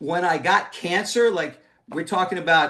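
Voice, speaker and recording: With a raised, projected voice, a man speaks at a moderate pace. His intonation is lively. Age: 60s. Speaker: contributing author. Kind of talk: testimony. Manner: halting.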